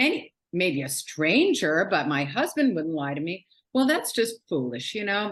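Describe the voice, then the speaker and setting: Vocal fry in an American accent, very wide pitch swings, a moderate pace and a quiet background. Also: woman. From New York City. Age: 60s. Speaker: author. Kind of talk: interview.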